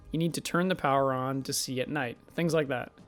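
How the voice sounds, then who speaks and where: A man's fairly high voice at a fairly quick pace, with music in the background. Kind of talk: casual video essay pitch. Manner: fast.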